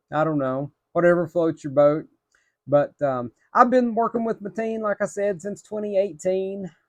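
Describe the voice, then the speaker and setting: A man with an Appalachian accent talks at a moderate pace, high-pitched, with lively intonation. The background is quiet, and the sound is dry and close with no echo. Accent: Appalachian hillbilly. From Appalachia, northeastern Tennessee / southwestern Virginia. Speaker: belt collector reviewer, telecom department manager. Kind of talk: casual product review video. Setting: home room with belts on wall.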